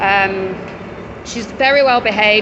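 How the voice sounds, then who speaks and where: A woman with an English accent speaks at a fairly high pitch with ordinary pitch variation, and noticeable background noise can be heard. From England. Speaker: dog rescue worker. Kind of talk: casual video walkthrough. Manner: casual, conversational.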